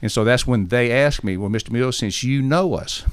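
This very clean recording with a silent background features a man with an Alabama accent whose pitch moves with ordinary variation. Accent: US Southern (Alabama). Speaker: missionary. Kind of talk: interview.

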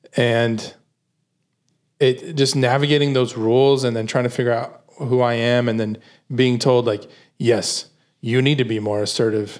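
At a moderate pace, a man talks in a flat monotone, leaving long, frequent pauses. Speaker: podcast host. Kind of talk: casual chat. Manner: soft-spoken.

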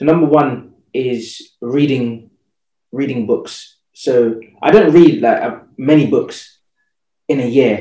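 His tone is dark and mellow, though his pitch sits fairly high. The man speaks very slowly. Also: ordinary pitch variation. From England, Jamaican heritage. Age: 30s. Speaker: fitness entrepreneur. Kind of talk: interview conversation.

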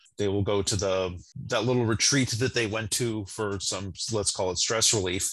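The man has an ordinary speaking voice, fairly low in pitch, with fairly even intonation. He talks at a moderate pace against a quiet background. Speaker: podcast host. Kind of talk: casual discussion.

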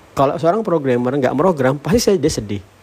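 With noticeable background noise behind him, a man's pitch swings very widely. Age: 40s. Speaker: tech founder and podcaster. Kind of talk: solo monologue podcast. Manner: casual, filler-heavy.

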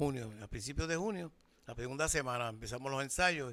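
A bright, sharp tone moves at a fairly quick pace with ordinary pitch variation. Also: man. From Puerto Rico, Loíza. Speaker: bandleader and music teacher. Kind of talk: casual interview. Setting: band rehearsal.

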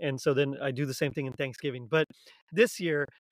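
On a very clean recording with a silent background, a plain, everyday voice speaks in an American accent with ordinary pitch variation. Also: man. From South Texas. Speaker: podcast host guest. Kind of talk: casual chat.

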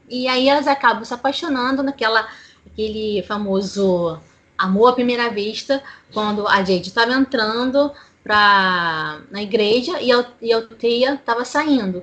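The woman has a plain, everyday voice, fairly high in pitch with ordinary variation. She speaks at a fairly slow pace. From Brazil, Rio de Janeiro city. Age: 30s. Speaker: podcast panelist. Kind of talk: casual chat.

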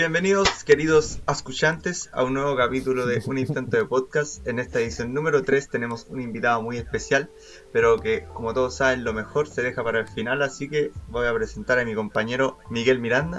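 Speaking with a Chilean accent, a man of medium pitch moves at a fairly quick pace with lively intonation. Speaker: podcast host. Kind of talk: casual chat.

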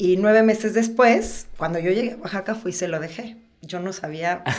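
In a room with audible echo, a woman speaks at a moderate pace and medium pitch with ordinary pitch variation. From central Mexico, Toluca. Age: 40s. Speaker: social designer and photographer. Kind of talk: casual interview chat.

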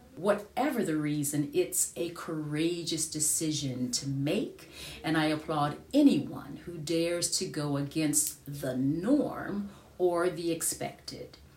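In an American accent, a woman speaks very slowly at a very deep, low pitch with ordinary pitch variation, and audible room echo. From United States. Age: 50s. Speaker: podcaster and singer. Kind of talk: personal monologue.

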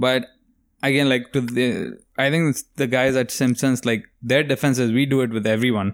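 A man talks in a plain, everyday voice at a medium pitch and moderate pace, with fairly even intonation and very even loudness, in a very clean recording with a silent background. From immigrant to the US. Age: 20s. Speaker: podcast host, comedian. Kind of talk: casual chat. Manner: casual, profane.

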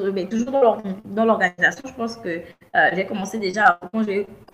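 A woman talks at medium pitch. Noticeable background noise is present. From Gabon. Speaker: business coach. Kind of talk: interview. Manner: halting, many repetitions.

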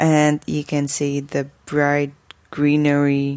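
A woman with a Slovak accent and a very deep, low pitch. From Slovakia. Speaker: podcaster. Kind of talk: casual monologue.

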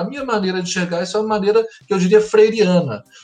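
A man talks at a very fast pace in a high voice. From Minas Gerais, Brazil (Belo Horizonte). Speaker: school pedagogical coordinator and psychologist. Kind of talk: interview.

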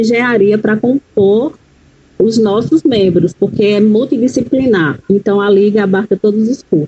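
An ordinary speaking voice from a woman, fairly high in pitch, with ordinary pitch variation at a moderate pace. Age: 40s. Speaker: educator and psychology student. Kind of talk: interview.

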